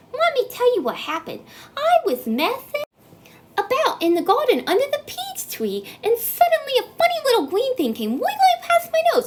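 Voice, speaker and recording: A woman uses a squeaky, put-on character voice. Her pitch swings very widely at a moderate pace. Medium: read story. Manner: boastful, gleeful.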